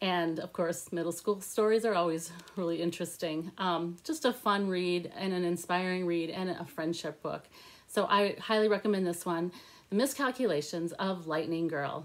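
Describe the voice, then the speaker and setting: A woman speaks in a normal speaking voice at a fairly low pitch. Her pace is moderate and her pitch variation ordinary. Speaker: book reviewer. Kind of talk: casual vlog chat. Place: home room. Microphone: phone near.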